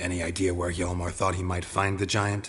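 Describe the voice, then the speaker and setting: A man uses a put-on character voice, growling at a very deep, low pitch in a flat monotone. He moves at a fairly quick pace, with clear background noise behind him. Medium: video game. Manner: laconic, dry.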